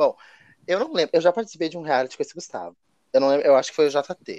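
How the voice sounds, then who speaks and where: A man is talking here. The sound stays dry and close, free of any echo. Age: 20s. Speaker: podcast co-host, online reality game player. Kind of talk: casual chat.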